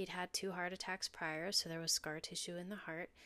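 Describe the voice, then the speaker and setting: A woman speaks at a fairly quick pace in a normal speaking voice, with medium pitch. The recording is very clean, with a silent background. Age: 40s. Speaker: intuitive medium and podcast host. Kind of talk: reading aloud personal journal entries; casual podcast intro.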